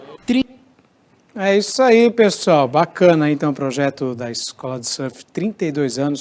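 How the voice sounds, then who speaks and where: At a fairly slow pace, a man with a fairly high pitch speaks with very wide pitch swings. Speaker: TV news presenter. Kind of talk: news presenting.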